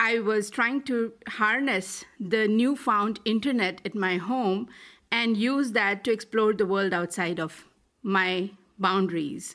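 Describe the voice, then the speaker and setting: A woman's fairly high voice at a very slow pace, with ordinary pitch variation, on a very clean recording with a silent background. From India, Delhi. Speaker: tech executive and investor. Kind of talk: interview.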